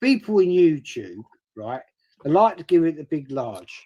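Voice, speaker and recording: A man speaks in a southern English accent with a high pitch and very wide pitch swings. His pace is fairly slow. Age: 60s. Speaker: stream guest. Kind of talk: heated debate. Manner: animated.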